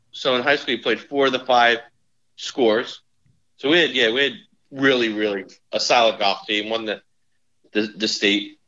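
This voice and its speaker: A man with a New Jersey accent, medium pitch, fairly slow pace and ordinary pitch variation. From northern New Jersey. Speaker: insurance executive and former college golfer. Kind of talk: casual interview chat.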